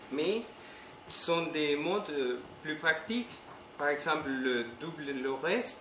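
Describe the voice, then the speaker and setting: A man with a non-native accent speaks at a very slow pace and fairly high pitch, with lively intonation. Noticeable background noise and audible room echo are present. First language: not French (speaking French). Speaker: conference speaker on retro computing. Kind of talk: technical conference talk. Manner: halting, many hesitations.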